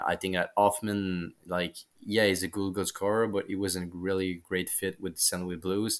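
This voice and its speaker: A man with a French accent, very deep and low in pitch, monotone and flat, at a moderate pace, on a very clean recording with a silent background. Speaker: hockey journalist. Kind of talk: casual chat. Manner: halting.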